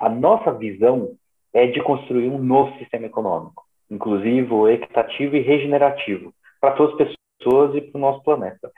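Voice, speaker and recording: This man has an ordinary speaking voice at medium pitch, with ordinary pitch variation. He talks at a fairly quick pace. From São Paulo, Brazil. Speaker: social entrepreneur. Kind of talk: interview.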